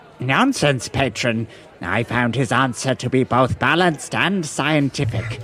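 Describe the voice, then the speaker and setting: A man uses a put-on character voice at medium pitch. He speaks at a moderate pace over clear background noise. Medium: actual play. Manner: formal, ornate.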